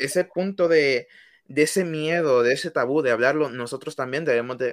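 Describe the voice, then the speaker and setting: The man has a plain, everyday voice, fairly high in pitch with ordinary pitch variation, at a moderate pace. The sound is dry and close with no echo, on a very clean recording with a silent background. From Honduras, Tegucigalpa. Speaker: student podcast co-host. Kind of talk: casual discussion.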